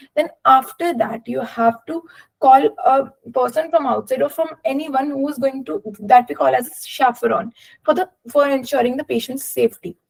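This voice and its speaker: In an Indian accent, a woman speaks at a moderate pace with a high pitch and ordinary pitch variation. Her loudness swings widely, and the sound is dry and close with no echo. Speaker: doctor sharing exam experience. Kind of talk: webinar talk. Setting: online webinar. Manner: hesitant, many fillers.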